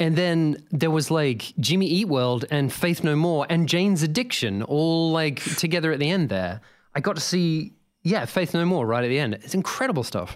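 Lively intonation and an Australian accent carry this voice at a moderate pace, with very even loudness. The recording is very clean, with a silent background. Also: man, fairly high pitch for a man. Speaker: video game composer and sound designer. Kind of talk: casual interview chat.

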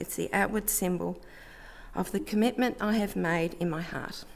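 A woman with an Australian accent speaks at a moderate pace and medium pitch. Vocal fry is present in her voice. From Melbourne, Australia. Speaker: baptism candidate. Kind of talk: testimony.

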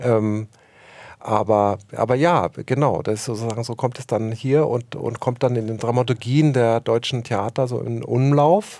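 Fairly even intonation marks this man's dark, mellow voice. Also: medium pitch for a man, fairly slow pace. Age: 50s. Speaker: film and theatre director. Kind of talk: interview. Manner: hesitant, many fillers.

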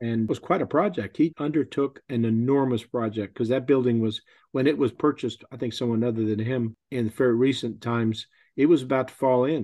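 A man with a Texan accent talks at a fairly quick pace with ordinary pitch variation. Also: medium pitch for a man. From Texas. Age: 70s. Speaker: pilgrim. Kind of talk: casual interview.

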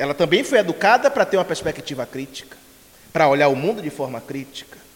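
Amid noticeable background noise, a man with a fairly high voice talks very fast, his pitch swinging very widely. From Bahia, Brazil. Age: 40s. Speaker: spiritist lecturer. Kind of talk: lecture. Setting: spiritist center with live audience.

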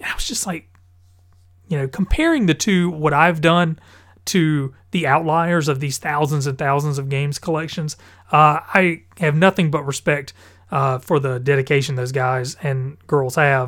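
On a very clean recording with a silent background, a man talks at a moderate pace with fairly even intonation. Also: fairly high pitch for a man. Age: 30s. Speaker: gaming podcast host. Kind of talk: casual solo podcast monologue. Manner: hesitant, many fillers.

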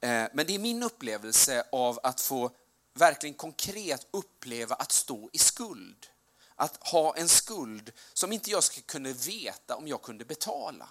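Here a man speaks at a fairly high pitch. His voice makes very wide pitch swings. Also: fairly slow pace. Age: 40s. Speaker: preacher. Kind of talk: sermon.

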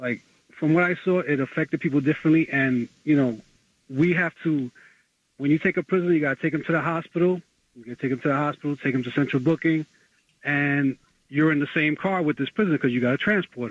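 A man's fairly high voice at a fast pace, ordinary pitch variation, and a dry, close sound with no echo

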